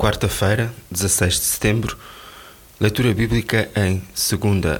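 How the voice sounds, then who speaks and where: A fairly low-pitched man at a very slow pace, with a European Portuguese accent and ordinary pitch variation. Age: 60s. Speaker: devotional speaker. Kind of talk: scripted devotional reading.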